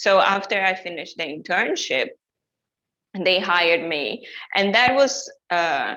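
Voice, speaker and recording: A woman with a Brazilian accent and medium pitch speaks with lively intonation, pausing often and at length. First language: Portuguese. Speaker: journalist and digital content specialist. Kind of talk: webinar presentation. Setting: online webinar. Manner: hesitant, many fillers and restarts.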